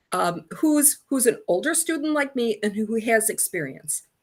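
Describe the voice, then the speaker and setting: A woman's normal speaking voice at a moderate pace, with lively intonation. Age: 60s. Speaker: alumna and communications professional. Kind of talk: interview.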